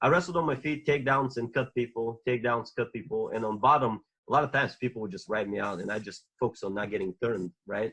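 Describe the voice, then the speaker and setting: A man in a Bulgarian accent, very fast pace and lively intonation. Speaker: former Olympic wrestler. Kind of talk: podcast interview.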